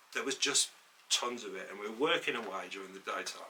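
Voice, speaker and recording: A man talks over noticeable background noise. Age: 60s. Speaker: podcast co-host, former photographer's assistant. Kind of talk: casual chat. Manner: halting.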